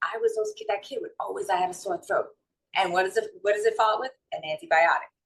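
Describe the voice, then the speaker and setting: Here a woman speaks at a high pitch with a New York accent. Her pitch swings very widely. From New York City / North Jersey. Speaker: holistic wellness and mindset coach. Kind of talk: interview.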